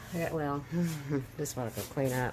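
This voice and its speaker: A woman's voice carries audible room echo. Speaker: DIY home remodeling vlogger. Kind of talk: casual DIY vlog narration.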